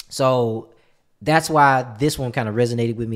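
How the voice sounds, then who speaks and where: A man speaks at a moderate pace with ordinary pitch variation, recorded very cleanly against a silent background. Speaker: reaction channel host. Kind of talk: casual reaction chat. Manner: animated, halting with restarts.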